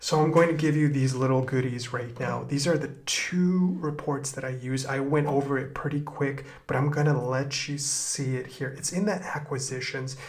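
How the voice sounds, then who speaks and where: A man talks at a moderate pace with hardly any pauses and fairly even intonation, amid noticeable background noise and audible room echo. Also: fairly high pitch for a man. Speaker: e-commerce marketing tutor. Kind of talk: screen-recorded tutorial.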